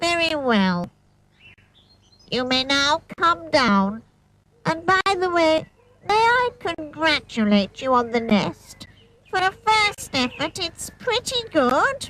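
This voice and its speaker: A put-on character voice, high in pitch, swings very widely up and down. It moves at a fairly slow pace with long, frequent pauses. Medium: read story. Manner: measured, formal.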